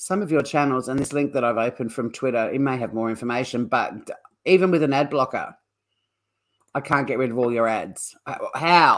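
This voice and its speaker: With an Australian accent, a woman speaks at a very deep, low pitch and ordinary pitch variation. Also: fairly quick pace. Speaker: true crime streamer, former criminal lawyer. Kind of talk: live stream commentary. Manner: casual, chatty.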